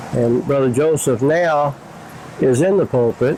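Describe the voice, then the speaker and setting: Over noticeable background noise, a man with an American accent speaks very slowly at a medium pitch, his intonation fairly even. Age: 70s. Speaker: church member. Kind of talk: interview.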